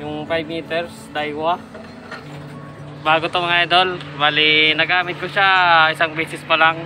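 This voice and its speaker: A man's flat, monotone delivery over clear background music. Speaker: fishing vlogger. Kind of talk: casual vlog chat. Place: waterside. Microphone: phone near.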